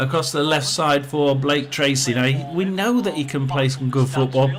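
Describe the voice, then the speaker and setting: In a Yorkshire accent, a man with a fairly high pitch talks at a moderate pace amid audible room echo. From northern England, South Yorkshire (Rotherham). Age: 60s. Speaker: football watchalong streamer. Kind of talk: casual live commentary. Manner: halting, many fillers.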